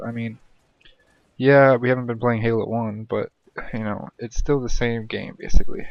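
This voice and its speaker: Monotone, flat intonation from a man at a moderate pace, broken by long, frequent pauses. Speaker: gamer, map maker. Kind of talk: casual rant to camera. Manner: quiet, subdued.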